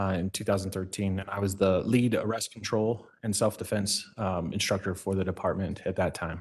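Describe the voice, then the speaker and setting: A man talks with hardly any pauses in a fairly low, monotone voice with flat intonation over a quiet background. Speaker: police training supervisor testifying as witness. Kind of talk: court testimony. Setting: courtroom. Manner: fast.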